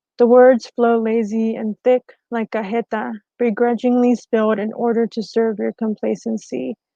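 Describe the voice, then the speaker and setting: Speaking in an American accent, a woman uses a fairly high pitch with a dark, mellow tone and monotone, flat intonation. She goes at a fairly slow pace, and the sound is dry and close with no echo. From western North Carolina mountains. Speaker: poet. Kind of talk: poetry reading. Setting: online live stream.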